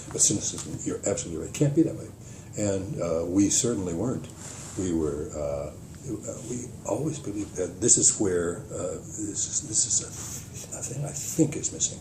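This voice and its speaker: Amid noticeable background noise and audible room echo, a man with a fairly low pitch talks at a moderate pace, with long, frequent pauses and very wide pitch swings. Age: 80s+. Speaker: retired journalist. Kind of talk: casual chat. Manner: halting.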